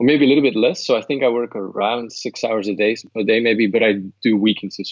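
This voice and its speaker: With a Flemish accent, a man speaks with ordinary pitch variation. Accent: Flemish Dutch accent in English. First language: Dutch. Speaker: translator and language course creator. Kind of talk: interview. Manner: hesitant, with fillers and repetitions.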